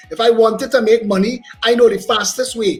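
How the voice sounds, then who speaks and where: With music playing in the background, a man talks at a very fast pace in an animated tone with a Trinidadian accent. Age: 50s. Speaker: politician. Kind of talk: talk show interview.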